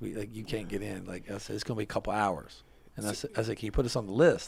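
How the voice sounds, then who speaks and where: Very fast and marked by vocal fry, the voice carries an American accent with ordinary pitch variation. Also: man. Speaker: podcast host. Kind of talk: casual interview chat. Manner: animated.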